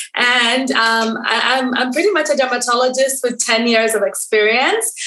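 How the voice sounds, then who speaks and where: A woman with a Kenyan accent speaks at a high pitch and moderate pace, with ordinary pitch variation, audible room echo and noticeable background noise. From Kenya, Nairobi. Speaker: dermatologist. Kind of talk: interview guest.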